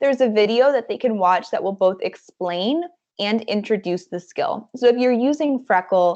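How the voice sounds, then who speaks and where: A woman with an unremarkable speaking voice talks at a moderate pace and a fairly high pitch with lively intonation. The background is quiet. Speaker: edtech account manager and trainer; trainer. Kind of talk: online staff training presentation. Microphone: video call.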